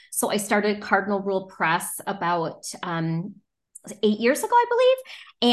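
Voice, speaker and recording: A woman's fairly high-pitched, an ordinary speaking voice, against a quiet background. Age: 40s. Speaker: children's book publisher, former teacher. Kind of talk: casual interview.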